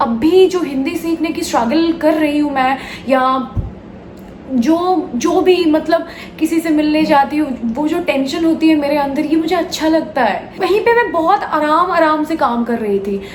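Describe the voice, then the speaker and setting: Over noticeable background noise, a woman with a Bengali accent speaks at a high pitch with ordinary pitch variation. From West Bengal, India. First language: Bengali (speaking Hindi). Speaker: actress and vlogger. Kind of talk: personal vlog confession. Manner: hesitant, with fillers.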